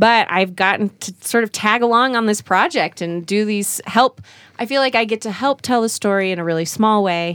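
A woman's normal speaking voice with an American accent, fairly high in pitch, ordinary pitch variation and a moderate pace, in a dry, close sound with no echo on a very clean recording with a silent background. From Utah. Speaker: TV presenter. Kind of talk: casual chat.

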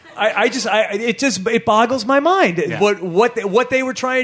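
An animated man's voice at an extremely high pitch, with noticeable background noise. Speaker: podcast host. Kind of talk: live podcast recap before audience. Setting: comedy club stage with audience.

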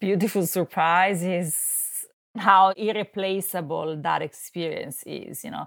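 A woman with an Italian accent, medium pitch and a fairly slow pace, in a very clean recording with a silent background. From Italy. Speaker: art curator. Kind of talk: interview.

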